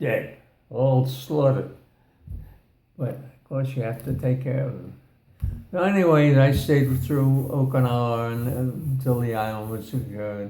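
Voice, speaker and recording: A man speaks at a medium pitch in a dark, mellow tone that is somewhat breathy, with fairly even intonation. His pace is fairly slow, with long, frequent pauses and audible room echo. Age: 90s. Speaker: war veteran. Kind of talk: casual chat. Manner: halting.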